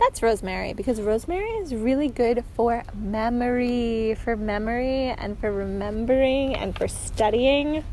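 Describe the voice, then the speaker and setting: A high-pitched woman's voice at a moderate pace with hardly any pauses, ordinary pitch variation and noticeable background noise. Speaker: knitting podcaster. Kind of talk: casual podcast monologue. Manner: chatty, filler-heavy.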